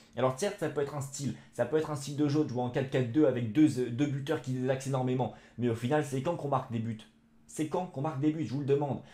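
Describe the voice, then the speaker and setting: A man's very fast, somewhat breathy speech, fairly high in pitch with a dark, mellow tone and big swings in loudness. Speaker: football YouTuber. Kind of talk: football match debrief vlog. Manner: animated.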